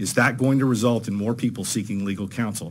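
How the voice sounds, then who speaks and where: A man with an American accent talks at a very fast pace in a fairly low voice with fairly even intonation. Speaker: trial lawyer testifying at legislative hearing. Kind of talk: legislative committee testimony. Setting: committee hearing room.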